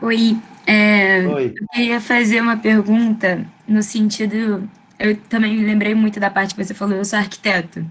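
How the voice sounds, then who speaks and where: At a moderate pace, a woman speaks in a somewhat breathy, fairly high voice with monotone, flat intonation. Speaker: architecture student, junior architect. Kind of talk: audience question in online lecture. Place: home room. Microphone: webcam.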